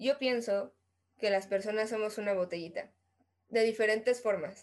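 At a moderate pace, a woman talks with a Mexican accent. Her pitch is fairly high, with ordinary variation. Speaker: podcast co-host. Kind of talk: casual chat. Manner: animated.

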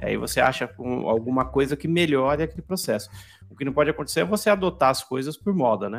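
A man at a very fast pace with medium pitch and lively intonation, music in the background. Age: 40s. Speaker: podcast host, designer. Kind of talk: casual chat.

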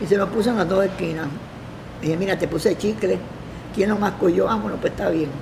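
A woman talks very fast but leaves long, frequent pauses. Noticeable background noise and audible room echo surround her. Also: medium pitch for a woman, ordinary pitch variation. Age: 80s+. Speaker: television makeup artist. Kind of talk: interview. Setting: care home.

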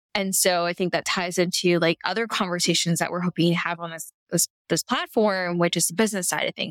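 A woman with a fairly low pitch talks in an ordinary speaking voice at a fairly quick pace with fairly even intonation. The sound is dry and close with no echo, on a very clean recording with a silent background. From Canada. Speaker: podcast co-host. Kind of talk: casual interview chat.

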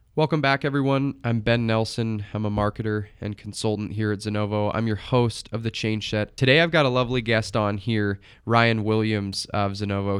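A man speaks at a moderate pace with hardly any pauses, in an unremarkable speaking voice, his pitch fairly low and his intonation fairly even, against a quiet background. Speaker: podcast host and college student marketer. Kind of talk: interview conversation; scripted intro.

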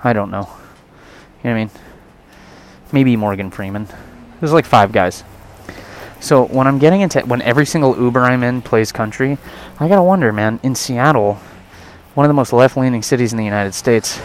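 Soft-spoken, a man talks at a medium pitch with ordinary pitch variation. His pace is fairly quick, broken by long, frequent pauses. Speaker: podcast host. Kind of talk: casual monologue rant. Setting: outdoors in city traffic, mic inside mask. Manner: quiet, soft-spoken.

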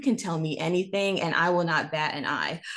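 This woman has an unremarkable speaking voice with an American accent. Her pitch is fairly low, with ordinary variation. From North Carolina. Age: 20s. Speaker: public speaker. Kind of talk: interview.

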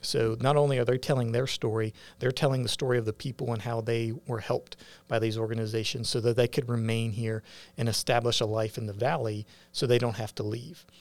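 A man with an American accent talks at a fairly quick pace in a monotone, flat delivery, recorded very cleanly against a silent background. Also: medium pitch for a man. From West Virginia, northern Panhandle. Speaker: firefighter and media entrepreneur. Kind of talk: interview.

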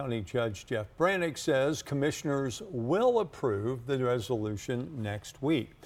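A man's normal speaking voice at medium pitch, with lively intonation, a fairly slow pace and hardly any pauses. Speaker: news anchor. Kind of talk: news reading.

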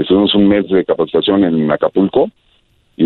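With a very deep, low pitch, a man speaks at a very fast pace in fairly even intonation. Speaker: air traffic controller. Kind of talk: interview.

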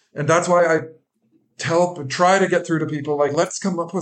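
This man has a western Canadian accent and a high pitch. His intonation stays fairly even. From western Canada. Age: 40s. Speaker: recovery coach. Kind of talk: interview, personal testimony.

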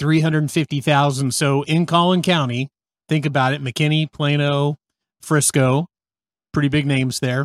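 Dry and close with no echo, a man's fairly high voice moves at a moderate pace. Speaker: realtor and podcast host. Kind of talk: casual chat. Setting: video call. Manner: animated, laughs often.

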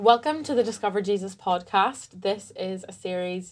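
Somewhat breathy, a woman talks at a moderate pace in a very clean recording with a silent background. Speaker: podcast host, student intern. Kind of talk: casual podcast hosting.

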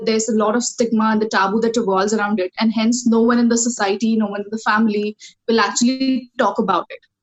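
Music plays behind a woman speaking very fast. Her fairly high voice stays flat and monotone. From India, Kolhapur, Maharashtra. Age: 20s. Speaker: student mental health advocate. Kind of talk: interview.

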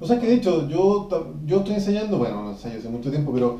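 A man with a Chilean accent at a very fast pace, audible room echo and noticeable background noise. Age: 30s. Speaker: podcast host, musician. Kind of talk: casual chat.

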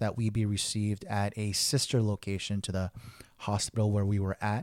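In a normal speaking voice, a man talks at a fairly quick pace and fairly low pitch, the recording very clean with a silent background and a dry, close sound with no echo. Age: 30s. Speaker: podcast host, lay theologian. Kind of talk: personal reflective monologue.

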